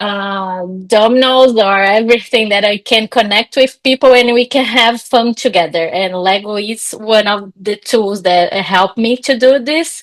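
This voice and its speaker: Ordinary pitch variation from a woman at a fairly slow pace. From Brazil. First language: Portuguese. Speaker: psychologist and coach. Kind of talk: podcast interview. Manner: animated; halting.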